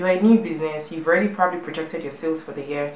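Very fast speech over noticeable background noise. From Nigeria. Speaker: YouTube vlogger giving business advice. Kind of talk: monologue tutorial to camera. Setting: video blog filmed at home.

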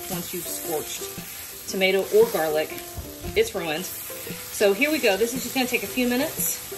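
Faint music plays in the background. Over it, a woman speaks at a moderate pace. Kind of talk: tutorial. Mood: warm, chatty, laughing. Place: kitchen. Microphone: phone near.

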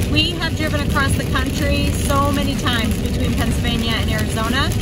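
Loud background noise surrounds a woman whose voice sounds dry with no echo. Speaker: family travel vlogger. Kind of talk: casual vlog chat. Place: car. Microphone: phone near.

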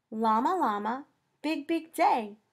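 Sing-song delivery comes from a woman at a fairly slow pace. The background is quiet. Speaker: children's librarian. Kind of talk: children's story time reading. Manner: expressive, sing-song, addressing young children. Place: home room. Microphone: webcam.

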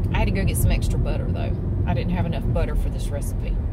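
Speaking very fast over loud background noise, a woman comes through with a dry sound and no echo. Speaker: vlogger. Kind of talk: casual vlog chat. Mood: chatty, mildly exasperated. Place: car. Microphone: phone near.

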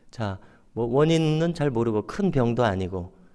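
A man with an unremarkable speaking voice, lively intonation and a moderate pace. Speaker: pastor. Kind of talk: sermon.

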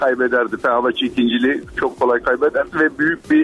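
Noticeable background noise sits behind a man talking at a fairly quick pace. His pitch swings very widely. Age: 60s. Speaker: caller, long-haul truck driver. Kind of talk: call-in chat. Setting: phone call.

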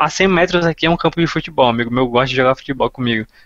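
With a quiet background and a dry sound with no echo, a man speaks with ordinary pitch variation. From Brazil. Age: 20s. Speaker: online Russian teacher and student; online Russian teacher. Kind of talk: casual chat. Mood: concerned but relaxed. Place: home room. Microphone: headset.

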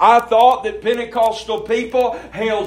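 An extremely high-pitched man with a Mississippi accent at a fairly slow pace, over noticeable background noise. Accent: Southern US (Mississippi). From Mississippi, US South. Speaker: pastor. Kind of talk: sermon.

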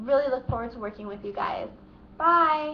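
Over light background noise, a woman with an American accent speaks at a high pitch with ordinary pitch variation. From Seattle, Washington. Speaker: English teacher. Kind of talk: casual self-introduction to camera. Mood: cheerful, friendly. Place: home room. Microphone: webcam.

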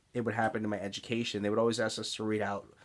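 A man is speaking. His pitch is fairly low. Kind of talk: personal vlog talk. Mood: reflective, candid. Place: home room. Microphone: earbuds.

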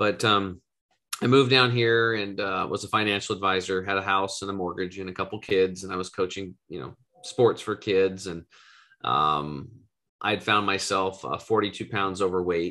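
A man with an American accent talks in a fairly low pitch, his pitch varying in an ordinary way. His tone is bright and sharp, and the background is quiet. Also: moderate pace. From US West, eastern Oregon. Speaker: wellness entrepreneur and health coach; health coach. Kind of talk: podcast interview. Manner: animated. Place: home room. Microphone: video call.

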